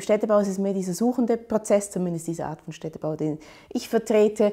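A woman's medium-pitched voice with ordinary pitch variation, set against a quiet background. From Switzerland, Aarau; Switzerland. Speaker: urban planner and architecture professor; architecture professor. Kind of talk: interview monologue. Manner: hesitant, many fillers. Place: office. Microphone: lapel.

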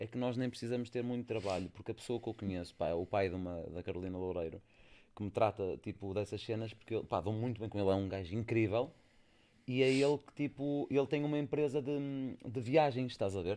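Speaking at a fairly quick pace, a man with a medium pitch and a dark, mellow tone shows ordinary pitch variation. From Portugal. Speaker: podcast host. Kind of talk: casual chat. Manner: animated. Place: studio. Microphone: studio mic.

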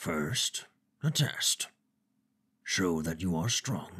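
A man puts on a character voice that is booming and rumbling. It sits very deep and low and moves at a very slow pace. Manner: terse, clipped, stern.

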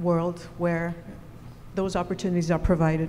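A woman with a fairly low pitch speaks at a moderate pace in a fairly even intonation, with light background noise behind her. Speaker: student. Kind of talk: audience question. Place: hall.

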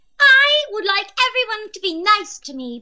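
A put-on character voice with an extremely high pitch. The pace is moderate.

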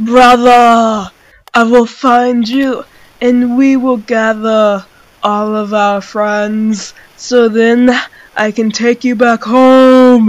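A put-on character voice sits at a fairly high pitch. It moves at a very slow pace with monotone, flat intonation. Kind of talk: comic overacting, archaic heroic speech. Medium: comedy sketch. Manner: loud, pompous, earnest.

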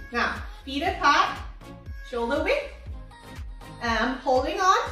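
In a room with audible echo, a woman speaks in a raised, projected voice at a fairly slow pace while faint music plays in the background. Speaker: physiotherapist instructor. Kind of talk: exercise class instruction. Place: home room. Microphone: camera far.

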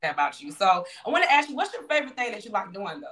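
Her tone is animated and her pitch fairly high. The woman talks at a very fast pace. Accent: Southern US. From Louisiana. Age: 30s. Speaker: online show host. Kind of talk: interview. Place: home room. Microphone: video call.

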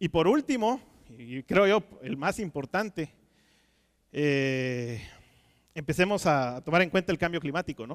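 A man speaks fairly slowly with lively intonation, the background quiet behind him. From Guatemala. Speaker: aquaculture technical manager; conference speaker. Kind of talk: conference talk. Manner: halting, many fillers and repetitions. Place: stage. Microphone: headset.

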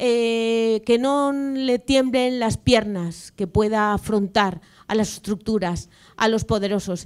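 A woman speaks very slowly against a quiet background. Her pitch is fairly high, with ordinary variation. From Valencia, Spain; Spain. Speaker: regional politician. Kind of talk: panel talk. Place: hall.

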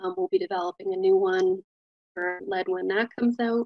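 A woman talks at a moderate pace with ordinary pitch variation. Faint music plays behind her, and the sound is dry with no echo. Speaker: city program manager; presenter. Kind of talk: presentation. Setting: video call.

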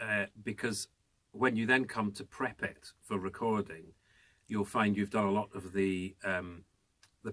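Over a quiet background, a man's fairly low voice holds a monotone, flat intonation. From Scotland. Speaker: audiobook narrator and voice actor. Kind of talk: advice to camera. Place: booth.

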